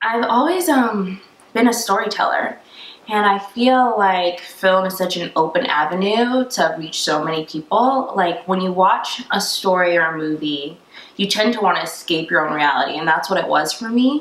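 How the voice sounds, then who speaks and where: Here is a woman with an ordinary speaking voice and an American accent. Her pitch is medium, her pace moderate, and her intonation lively. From Tampa, Florida. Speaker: screenwriter, actress, director and producer. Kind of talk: interview answer.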